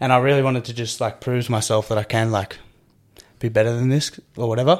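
With an Australian accent, a man speaks at a medium pitch. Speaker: CrossFit athlete and coach. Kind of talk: casual interview chat.

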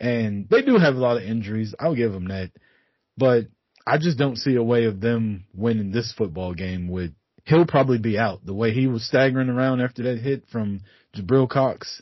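A plain, everyday voice, a man at medium pitch and moderate pace with ordinary pitch variation. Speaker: guest sports podcaster, Cowboys fan. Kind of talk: casual sports banter. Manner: profane, opinionated.

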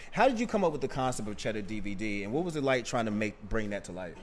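With an American accent, a man talks at a very fast pace, his pitch swinging very widely. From Boston, Mattapan. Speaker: podcast host. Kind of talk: casual interview.

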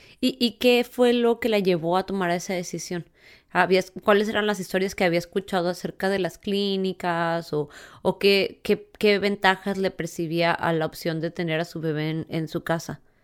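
Heard on a very clean recording with a silent background, a woman speaks in a plain, everyday voice at a moderate pace, with a medium pitch and fairly even intonation. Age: 30s. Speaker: podcast host. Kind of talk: interview.

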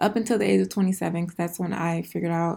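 A woman talks with an American accent. The recording is very clean with a silent background. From Houston, Texas. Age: 20s. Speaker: podcaster and acne clinic owner. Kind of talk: casual solo monologue.

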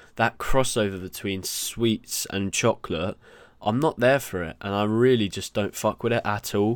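In a British accent, a man speaks at a fairly low pitch and moderate pace with ordinary pitch variation, on a very clean recording with a silent background and a dry, close sound with no echo. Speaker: podcast host and trainee chef. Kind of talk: casual solo chat. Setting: studio. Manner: animated; halting.

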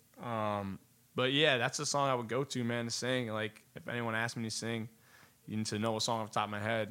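A man speaks at a fairly quick pace with a medium pitch. His intonation is monotone and flat. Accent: American. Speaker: singer-songwriter and producer. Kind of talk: casual interview.

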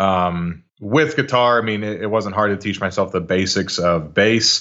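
A man speaks in a fairly low voice. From Texas, Arlington (Dallas-Fort Worth). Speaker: metal musician, vocalist. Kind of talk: casual interview chat.

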